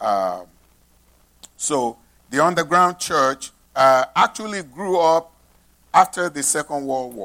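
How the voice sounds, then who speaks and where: With a Nigerian accent, a man speaks very slowly with long, frequent pauses, his fairly high voice bright and sharp, swinging widely in pitch and greatly in loudness, on a very clean recording with a silent background. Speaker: pastor. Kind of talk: sermon. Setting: church.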